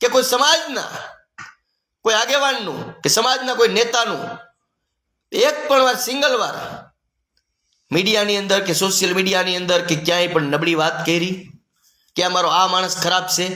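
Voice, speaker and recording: A man's high, raised, projected voice with an animated tone and lively intonation, amid audible room echo. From Gujarat, Rajkot district (Saurashtra). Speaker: community activist. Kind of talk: monologue to camera.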